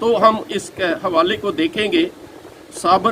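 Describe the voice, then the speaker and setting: A raised, projected voice with very wide pitch swings comes through noticeable background noise. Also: man. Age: 70s. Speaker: pastor. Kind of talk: sermon.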